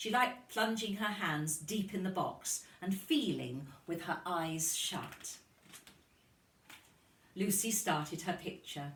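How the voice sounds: A woman's fairly low, fairly bright voice at a slow pace, with ordinary pitch variation and audible room echo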